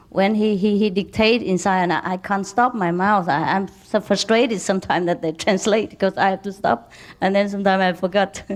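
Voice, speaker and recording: Speaking with an ordinary speaking voice, a woman talks fairly quickly in a medium pitch, fairly even in intonation with hardly any pauses. The recording is very clean, with a silent background. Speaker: spiritual teacher. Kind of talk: lecture. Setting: lecture hall with interpreters.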